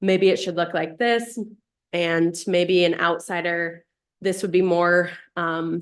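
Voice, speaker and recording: Over a quiet background, a woman speaks very slowly in a fairly low voice with monotone, flat intonation. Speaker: city council member. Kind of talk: committee report at council meeting. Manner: loud.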